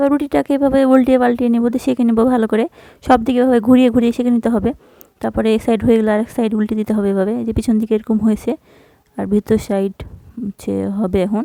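Her fairly high voice has a dark, mellow tone, recorded with a dry, close sound that has no echo. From Bangladesh, Rajshahi (Godagari). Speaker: cooking vlogger. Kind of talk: cooking tutorial vlog narration. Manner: casual, hesitant with fillers.

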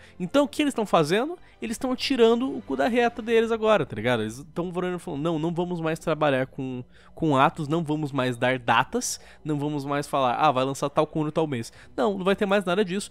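Fairly quick, fairly high speech from a man, with very wide pitch swings, on a very clean recording with a silent background. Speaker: gaming YouTuber. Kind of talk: angry rant. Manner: sarcastic, heated.

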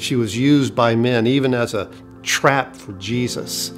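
Faint music plays behind the speaker. He is a man with a medium pitch. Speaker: pastor. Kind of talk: devotional sermon talk to camera. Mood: warm, earnest. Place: studio.

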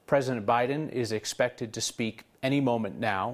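A man speaks at a moderate pace and medium pitch with fairly even intonation. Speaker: news anchor. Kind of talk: news reading. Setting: studio. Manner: grave, measured, formal. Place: studio. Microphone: lapel.

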